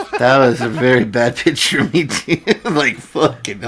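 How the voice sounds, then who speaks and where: Noticeable background noise sits behind a man speaking at a moderate pace. His pitch is medium with ordinary variation, and his loudness stays very even. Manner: casual, swears.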